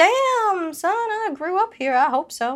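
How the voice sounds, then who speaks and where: A woman with a Canadian accent talks with very wide pitch swings. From Canada. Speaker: podcast guest. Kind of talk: casual chat.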